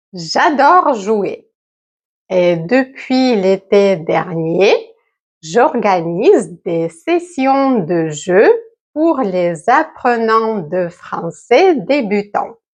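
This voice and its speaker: Over a quiet background, a woman speaks very slowly in a fairly high pitch, her pitch swinging very widely. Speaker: French teacher. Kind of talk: language lesson narration. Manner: slow and clear.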